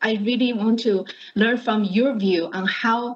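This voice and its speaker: A woman with a somewhat breathy voice talks at a moderate pace with fairly even intonation. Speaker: panel moderator. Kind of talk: introducing panelists. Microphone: video call.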